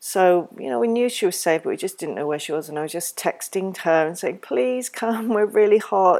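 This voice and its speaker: A woman with an English accent speaks at a medium pitch and a moderate pace in a warm tone. The recording is very clean, with a silent background. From England. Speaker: parenting educator podcaster. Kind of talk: educational talk. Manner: warm, reflective.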